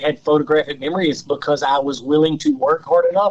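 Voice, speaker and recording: A man speaks with a Southern US accent. His pitch sits fairly high. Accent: Southern drawl. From Louisiana. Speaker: off-road racer and engineer. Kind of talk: podcast interview.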